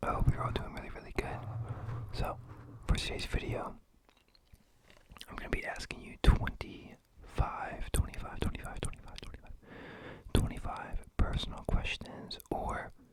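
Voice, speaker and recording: A woman whispers at a moderate pace, with long, frequent pauses and big swings in loudness against noticeable background noise. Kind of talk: ASMR asking the listener questions. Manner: whispered, up close; chill, relaxed.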